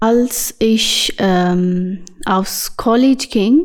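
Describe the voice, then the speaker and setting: Ordinary pitch variation marks this woman's speech, delivered with a non-native accent. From Pakistan. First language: not German (speaking German). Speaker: basketball player and youth coach. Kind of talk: interview. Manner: halting.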